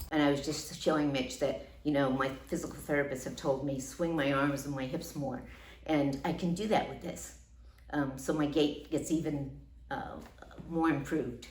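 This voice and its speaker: A woman with an American accent at a very deep, low pitch and a moderate pace, fairly even in intonation, with audible room echo and noticeable background noise. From US Northeast, Long Island New York. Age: 60s. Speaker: patient. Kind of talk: testimonial. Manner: hesitant with fillers.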